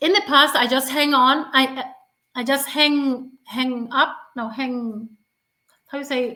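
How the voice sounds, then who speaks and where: Speaking very slowly with long, frequent pauses, a woman projects a raised, high-pitched voice with ordinary pitch variation. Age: 50s. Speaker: stuttering advocate. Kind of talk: interview. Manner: stuttering; halting.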